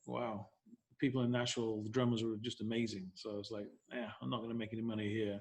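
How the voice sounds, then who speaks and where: Talking at a very fast pace, a man speaks with an English accent. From northern England, Leeds. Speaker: real estate broker. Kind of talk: interview.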